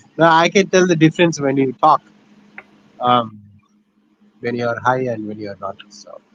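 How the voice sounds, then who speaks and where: A man with an Indian accent speaks in a fairly high voice with lively intonation and big swings in loudness. He leaves long, frequent pauses. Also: moderate pace. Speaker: livestream co-host. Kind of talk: casual chat.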